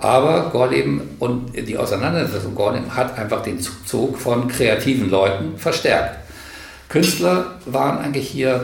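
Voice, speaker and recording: Lively intonation comes through at a fairly slow pace, with noticeable background noise and audible room echo. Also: man. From northern Hesse, Germany (Karlshafen on the Weser). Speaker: retired teacher and community organizer. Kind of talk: interview.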